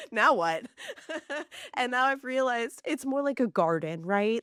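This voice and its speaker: A woman with an American accent speaks at a fairly quick pace with lively intonation in a normal speaking voice, the sound dry and close with no echo. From southern California. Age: 40s. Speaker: podcast host. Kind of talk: casual interview chat.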